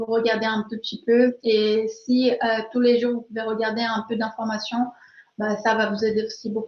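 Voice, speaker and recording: A woman's fairly slow, monotone, flat speech at a fairly high pitch, with a slight Brazilian accent. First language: Portuguese (speaking French). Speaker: learning expert, webinar speaker. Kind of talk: webinar Q&A. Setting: online webinar. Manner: hesitant, many fillers.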